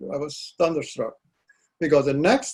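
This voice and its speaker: Speaking at a moderate pace, a man with a Dutch accent has a fairly high pitch. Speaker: poet. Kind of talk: interview. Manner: halting.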